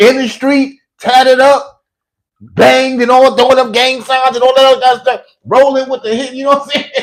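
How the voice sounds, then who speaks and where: An animated man at a moderate pace, his pitch extremely high. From New York. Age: 40s. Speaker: political commentator and self-published author. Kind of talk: casual rant; sales pitch.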